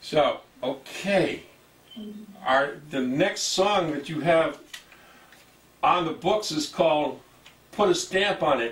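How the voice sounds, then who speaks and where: A man with a fairly high pitch speaks at a very slow pace with long, frequent pauses and ordinary pitch variation over noticeable background noise. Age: 60s. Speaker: TV show host. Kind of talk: interview.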